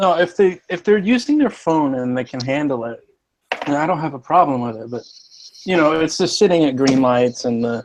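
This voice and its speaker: With a plain, everyday voice, a man speaks at a fairly quick pace, his fairly high pitch carrying lively intonation. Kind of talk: casual chat.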